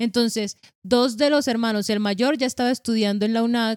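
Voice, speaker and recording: A woman with a plain, everyday voice speaks at a fairly high pitch with fairly even intonation. The sound is dry and close with no echo, on a very clean recording with a silent background. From Colombia, Caribbean coast (Sabana Grande, Atlántico). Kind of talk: casual religious conversation.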